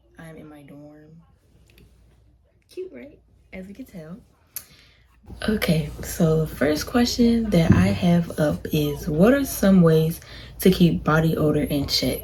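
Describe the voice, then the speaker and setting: Speaking at a very slow pace with long, frequent pauses, a woman makes very wide pitch swings and big swings in loudness. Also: fairly low pitch for a woman. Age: young. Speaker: college student vlogger. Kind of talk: casual chat. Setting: dorm room. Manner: soft-spoken.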